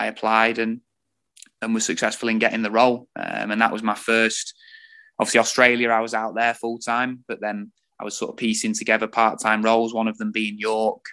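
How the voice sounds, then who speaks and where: With an East Midlands accent, a man speaks at a moderate pace and medium pitch in a bright, sharp tone. His intonation is monotone and flat, and the background is quiet. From Lincolnshire, England. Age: 20s. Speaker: football coach. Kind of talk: interview.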